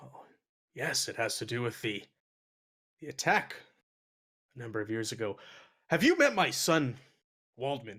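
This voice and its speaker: A man puts on a raspy character voice at medium pitch, with lively intonation, a moderate pace, and long, frequent pauses. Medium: actual play.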